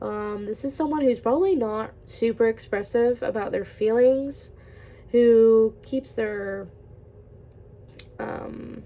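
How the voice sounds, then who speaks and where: Very slow speech from a woman, broken by long, frequent pauses. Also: fairly high pitch for a woman, ordinary pitch variation. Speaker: tarot reader. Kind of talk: tarot reading, casual. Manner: casual, filler-heavy.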